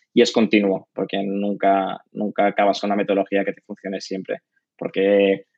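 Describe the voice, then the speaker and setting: A man speaks in a normal speaking voice at a moderate pace. His pitch is fairly low and his intonation fairly even. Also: big swings in loudness. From Spain, Catalonia (Barcelona). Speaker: head of design. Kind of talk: interview.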